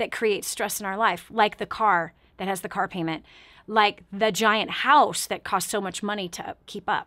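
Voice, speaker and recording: A woman's fairly high voice at a moderate pace over a quiet background. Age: 40s. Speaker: talk show host and motivational speaker; talk show host, motivational speaker. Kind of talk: radio call-in talk show. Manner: animated. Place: studio.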